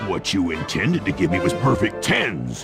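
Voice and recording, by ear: Over clear background music, a man does a cartoonish character voice, low-pitched with vocal fry and very wide pitch swings at a moderate pace.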